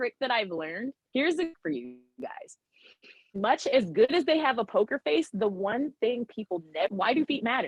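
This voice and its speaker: Loud and animated in tone, the speaker goes at a moderate pace with very wide pitch swings and long, frequent pauses, with music in the background. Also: woman. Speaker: animal trainer. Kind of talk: casual chat.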